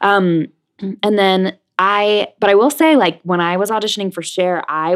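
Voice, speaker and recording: A woman with an American accent talks at a moderate pace with ordinary pitch variation and a plain, everyday voice. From New Jersey and New York City. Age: young. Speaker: Broadway actress. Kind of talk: interview.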